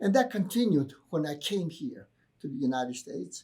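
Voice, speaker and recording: A man speaks at a moderate pace with a Greek accent. His voice is somewhat breathy, with a dark, mellow tone. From Greece, then Virginia, US from teens. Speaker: professor. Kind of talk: interview.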